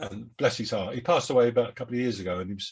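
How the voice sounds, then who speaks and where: A very fast, somewhat breathy male voice of medium pitch with a Cockney accent. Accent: Cockney London English. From London, England. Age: 70s. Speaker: jazz saxophonist. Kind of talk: interview. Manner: halting.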